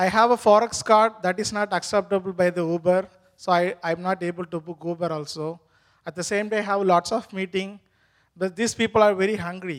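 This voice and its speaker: Fairly quick speech with an Indian accent. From India (Tamil). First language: Tamil. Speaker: immigrant worker. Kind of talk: testimony interview. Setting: church stage. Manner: halting.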